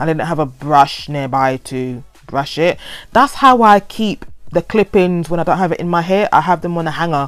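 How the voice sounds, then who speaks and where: A woman speaks in a London accent with a fairly low pitch. Her intonation is lively. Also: moderate pace. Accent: London, multicultural London English. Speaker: hair vlogger. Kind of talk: voiceover tutorial. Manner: stuttering; casual, rambling.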